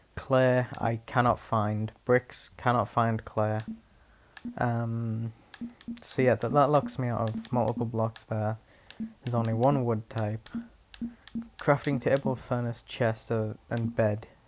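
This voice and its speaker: A quiet voice speaks at a very slow pace, with long, frequent pauses. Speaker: gaming YouTuber. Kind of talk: casual gameplay commentary. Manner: halting. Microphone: sounds quiet in recording.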